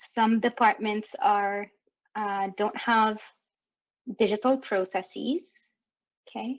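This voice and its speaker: A woman speaks very slowly in a fairly high pitch, with a French Canadian accent. Long pauses come often. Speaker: workshop facilitator. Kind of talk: interactive workshop facilitation. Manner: animated.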